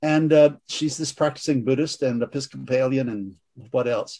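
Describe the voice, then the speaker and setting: The speaker here is a man. His voice has a dark, mellow tone. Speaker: priest and author. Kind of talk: discussion and prayer.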